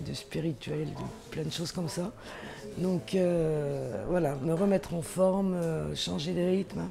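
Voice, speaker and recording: Against noticeable background noise, a woman with a fairly low pitch speaks at a very slow pace. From Limousin, France. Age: 60s. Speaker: retreat participant. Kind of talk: interview testimony.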